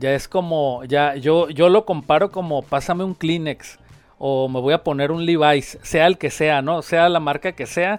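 Using a normal speaking voice, a man speaks at a fairly slow pace and a fairly high pitch with ordinary pitch variation. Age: 50s. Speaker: pizzeria owner. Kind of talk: casual interview.

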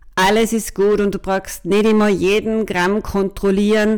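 A woman with an ordinary speaking voice at a fairly slow pace. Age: 50s. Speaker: podcast co-host, business consultant. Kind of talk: casual chat.

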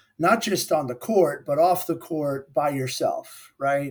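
A man's fairly high voice moves at a fairly slow pace with ordinary pitch variation. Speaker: accounting firm partner. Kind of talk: interview. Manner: hesitant, many fillers.

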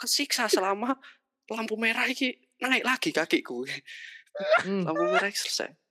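A woman with a bright, sharp tone and vocal fry talks at a fairly quick pace and fairly high pitch, her pitch swinging very widely. She leaves long, frequent pauses, and the sound is dry and close with no echo.

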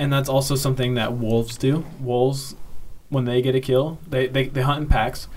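A somewhat breathy man with an American accent, medium pitch, monotone, flat intonation and a moderate pace. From Kansas City. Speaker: podcast co-host. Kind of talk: casual chat.

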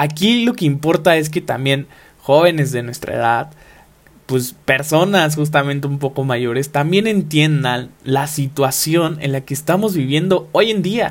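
A man with an unremarkable speaking voice talks at a fairly slow pace, fairly high in pitch, with ordinary pitch variation. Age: 20s. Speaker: podcast host, university student. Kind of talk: motivational podcast monologue.

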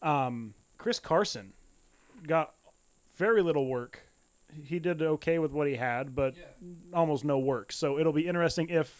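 The speaker uses lively intonation at a moderate pace, broken by long, frequent pauses. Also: man. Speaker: football podcast co-host. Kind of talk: casual chat.

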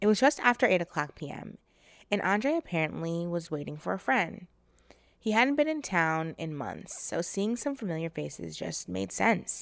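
A woman has an ordinary speaking voice, fairly low in pitch, with lively intonation at a moderate pace. The recording is very clean, with a silent background. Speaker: true crime podcaster. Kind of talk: true-crime narration, storytelling a case in a steady, serious tone. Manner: conversational and sassy in intros, then grave and measured in the retelling.

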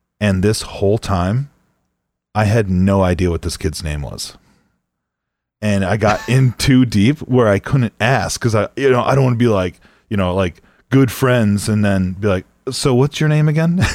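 Over a silent background in a very clean recording, a man with an unremarkable speaking voice and an American accent talks at a moderate pace, his fairly low pitch carrying lively intonation in a dry, close sound with no echo. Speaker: podcast co-host. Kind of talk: casual chat.

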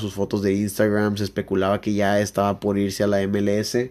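At a fairly quick pace, a man speaks with a fairly low pitch in a flat monotone. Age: 20s. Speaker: sports podcast host. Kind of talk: casual sports chat.

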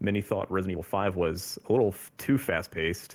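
Here is a man with a plain, everyday voice and a fairly low pitch. He talks at a fairly quick pace. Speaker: podcast co-host. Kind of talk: casual chat.

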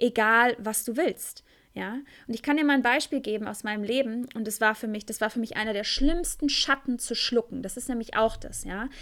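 Fairly high-pitched female voice at a moderate pace with ordinary pitch variation. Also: very clean recording, silent background. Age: 20s. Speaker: tantra teacher and podcast host. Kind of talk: solo podcast monologue. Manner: hesitant, many fillers.

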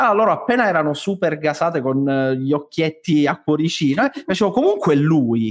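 In a normal speaking voice, a man talks at a fairly quick pace with fairly high pitch, lively intonation, very even loudness and hardly any pauses. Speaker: theatre director and stage director. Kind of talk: casual podcast chat.

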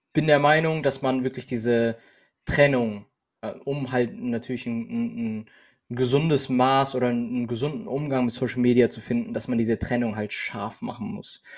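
Long, frequent pauses break up a man's medium-pitched speech, which keeps a fairly even intonation. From Germany. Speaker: podcast co-host. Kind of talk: casual chat. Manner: halting.

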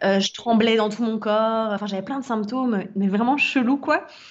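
A woman's fairly high voice at a fairly slow pace, with ordinary pitch variation over noticeable background noise. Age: 30s. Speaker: wellness and life coach. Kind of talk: casual interview testimony.

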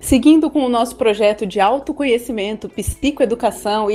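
With a high pitch and a dark, mellow tone, a woman talks at a moderate pace with lively intonation. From Brazil, Guarulhos, São Paulo. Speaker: podcast host. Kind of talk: scripted narration.

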